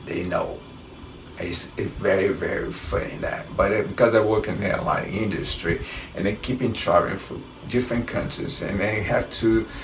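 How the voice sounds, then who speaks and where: At a moderate pace, a man with a strong Brazilian accent speaks amid noticeable background noise and audible room echo. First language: Portuguese. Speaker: travel vlogger, airline worker. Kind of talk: casual travel tips talk. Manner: halting, self-correcting.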